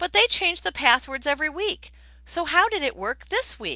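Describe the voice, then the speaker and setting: Putting on a character voice, a woman projects a raised, high-pitched voice with very wide pitch swings at a moderate pace. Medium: read story. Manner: earnest, questioning.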